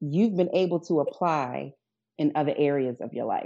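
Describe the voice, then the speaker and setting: In a Baltimore accent, this voice has a dark, mellow tone, a moderate pace and ordinary pitch variation over a quiet background. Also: woman, very deep, low pitch for a woman. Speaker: guest podcast host.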